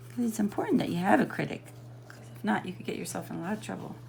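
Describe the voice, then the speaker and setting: A woman rattles along at a very fast pace against noticeable background noise. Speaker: coloring book artist and video host. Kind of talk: tutorial. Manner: casual, thinking aloud.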